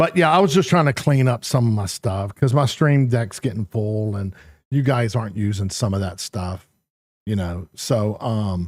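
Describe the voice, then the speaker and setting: Moderately paced speech from a man with a fairly low pitch. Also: lively intonation. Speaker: gaming streamer. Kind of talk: casual live-stream chat. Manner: mumbling; halting.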